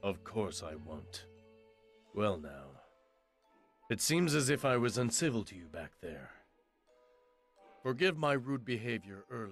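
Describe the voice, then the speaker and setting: A man uses a put-on character voice at a medium pitch, his pitch swinging very widely and his loudness jumping a lot. He talks at a moderate pace with long, frequent pauses over faint background music. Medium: video game. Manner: proud, intense.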